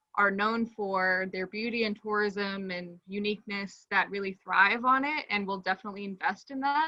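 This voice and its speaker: A woman with an American accent speaks in a plain, everyday voice at a medium pitch, keeping a moderate pace and fairly even intonation. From United States. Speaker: architect. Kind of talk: casual chat.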